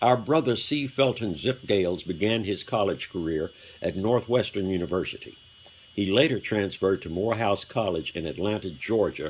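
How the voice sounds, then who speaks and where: At a moderate pace, an unremarkable speaking voice with an American accent shows ordinary pitch variation. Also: man. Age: 60s. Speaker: fraternity member speaker. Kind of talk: commemorative speech. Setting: hotel banquet hall with audience.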